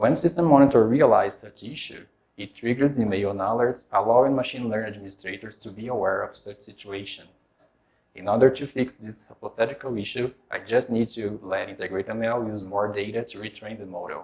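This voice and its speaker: The speaker talks at a fairly quick pace with a Portuguese accent, ordinary pitch variation, and big swings in loudness. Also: man, medium pitch for a man. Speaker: software developer. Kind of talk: tech demo presentation.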